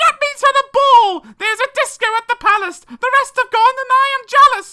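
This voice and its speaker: At a moderate pace, a squeaky, put-on character voice speaks at an extremely high pitch. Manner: angry, shouting.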